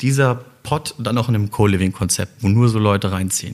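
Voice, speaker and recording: A man talks with ordinary pitch variation, keeping to a moderate pace. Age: 30s. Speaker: social entrepreneur, startup founder. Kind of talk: interview conversation. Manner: halting, many fillers.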